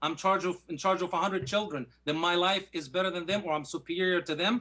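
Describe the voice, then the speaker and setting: A man with an Arabic accent speaks at a fairly quick pace in a high pitch with ordinary pitch variation. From Egypt (Alexandria). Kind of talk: formal debate rebuttal. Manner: animated.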